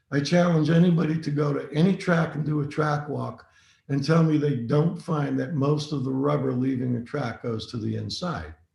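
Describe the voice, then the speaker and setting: A man speaks at a moderate pace in a somewhat breathy voice. His pitch is fairly high with ordinary variation, and audible room echo surrounds it. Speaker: racing driving instructor. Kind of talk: webinar lecture.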